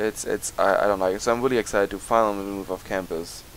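A man's fairly low pitch at a fast pace with fairly even intonation.

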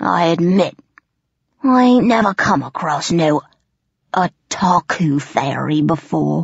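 A female-sounding, raspy put-on character voice at middle pitch moves at a fairly slow pace with long, frequent pauses. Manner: menacing, blustering, coarse.

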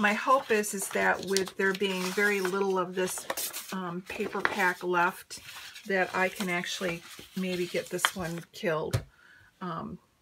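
A woman speaks at a fairly slow pace with a fairly low pitch and little pitch movement. Her tone is bright and sharp, with a slightly husky edge.

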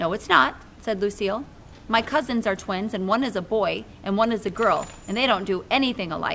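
The pitch varies in an ordinary way across an unforced reading voice.

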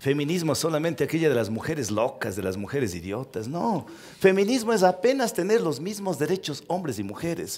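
A man with fairly high pitch speaks at a fairly quick pace, his pitch swinging very widely. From Ecuador, Cuenca region (Cañari); Ecuador. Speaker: talk show guest. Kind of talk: interview before a live audience. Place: stage. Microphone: headset.

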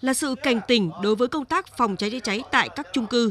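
A woman talks with a high pitch and lively intonation at a moderate pace. The sound is dry and close, with no echo. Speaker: TV news reporter. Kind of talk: scripted narration. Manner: formal.

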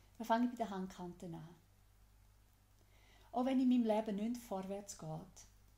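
With a Swiss accent, a woman speaks at a moderate pace with long, frequent pauses and big swings in loudness. Her dark, mellow tone is somewhat breathy, her pitch medium with ordinary variation. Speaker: EFT tapping guide. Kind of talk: guided tapping instruction.

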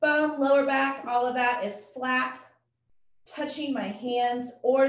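At a very slow pace, a woman speaks in a high pitch, with audible room echo around her voice. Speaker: fitness instructor. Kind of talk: workout class instruction. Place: home room.

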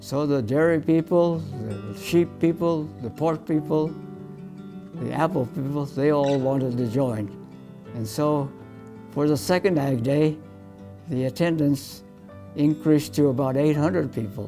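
With an American accent, the speaker goes at a fairly slow pace with long, frequent pauses and ordinary pitch variation while clear music plays in the background. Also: man. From Colorado, USA. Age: 80s+. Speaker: professor emeritus of animal sciences. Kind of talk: interview answer. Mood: warm, smiling reminiscence. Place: meeting room. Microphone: lapel.

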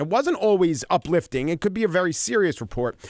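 A man talks at a fairly quick pace in a Long Island accent, with very wide pitch swings. The recording is very clean, with a silent background and a dry, close sound with no echo. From Long Island, New York. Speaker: radio sports reporter and podcast host. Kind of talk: interview answer.

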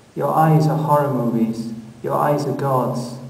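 Over noticeable background noise, a man speaks at medium pitch with fairly even intonation. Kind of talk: poem performed. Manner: tender, slow, intimate address to the dead.

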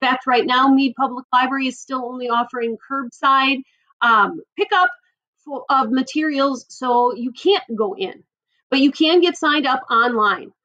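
Raised and projected, a woman's high voice carries a bright, sharp tone and lively intonation at a moderate pace, with a dry, close sound and no echo. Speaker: school librarian. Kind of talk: tutorial. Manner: animated.

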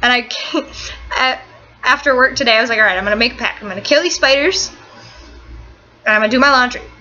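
Very fast and high-pitched, a woman speaks with ordinary pitch variation. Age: 18. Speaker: vlogger. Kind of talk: casual vlog storytelling. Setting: boyfriend's dorm room. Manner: fast, run-on storytelling. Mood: animated, storytelling. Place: home room. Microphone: webcam.

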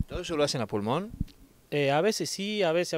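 Lively intonation at a fairly quick pace, with a dry sound and no echo. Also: man. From Argentina, Catamarca (Oyola); Catamarca, Argentina. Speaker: community activist. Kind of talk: interview; interview answer. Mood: calm, modest. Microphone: handheld.

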